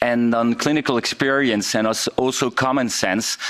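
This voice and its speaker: A man at medium pitch with a French accent, his intonation fairly even, with noticeable background noise. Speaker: intensive care doctor. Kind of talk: conference presentation. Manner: halting, many fillers.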